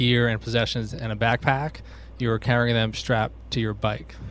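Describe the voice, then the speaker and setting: A man with an American accent talks at a fairly quick pace. His pitch is medium. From Albany, New York. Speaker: outdoor gear business owner. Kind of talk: interview. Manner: hesitant, many fillers.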